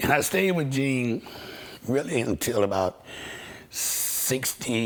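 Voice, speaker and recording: A man with lively intonation keeps to a fairly slow pace amid noticeable background noise. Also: medium pitch for a man. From Washington DC. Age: 60s. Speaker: session guitarist. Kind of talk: interview storytelling.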